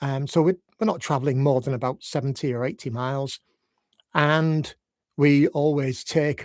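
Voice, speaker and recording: A man with a Yorkshire accent speaks at a fairly high pitch in a very clean recording with a silent background and a dry, close sound with no echo. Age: 60s. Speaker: life coach. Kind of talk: unscripted live reflective talk. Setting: live video stream. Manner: gentle, unhurried.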